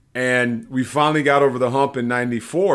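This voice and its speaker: In a very clean recording with a silent background, a man with an American accent and a plain, everyday voice speaks at moderate pace and medium pitch, with ordinary pitch variation. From Los Angeles, US. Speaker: former football player, podcast co-host. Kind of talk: casual sports podcast chat.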